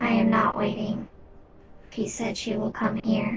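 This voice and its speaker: Using a put-on character voice, a woman speaks in a raspy, fairly high pitch with monotone, flat intonation at a moderate pace. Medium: actual play. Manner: terse, flat.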